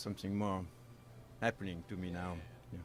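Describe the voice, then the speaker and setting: The man speaks with a strong French accent. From France, Normandy. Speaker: baker and chef, restaurant owner. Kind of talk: interview answers while cooking.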